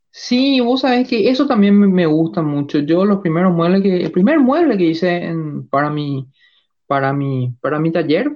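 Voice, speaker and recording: Speaking at a fairly slow pace, a woman with a fairly low pitch swings her pitch very widely. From Paraguay. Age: 40s. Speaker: carpenter and maker. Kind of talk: casual interview chat.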